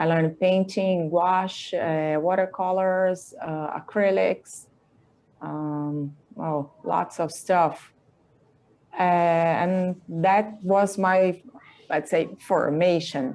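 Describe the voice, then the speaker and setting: Speaking very slowly with a Brazilian Portuguese accent, a woman keeps her intonation fairly even and her pitch fairly low. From Brazil, Campinas, São Paulo State. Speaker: artist and illustrator. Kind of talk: interview. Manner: halting.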